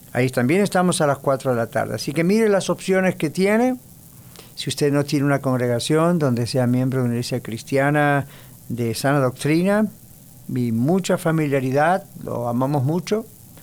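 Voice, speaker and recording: A man's fairly high voice at a moderate pace. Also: lively intonation. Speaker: radio host and pastor. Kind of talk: radio talk and sermon. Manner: relaxed, informal.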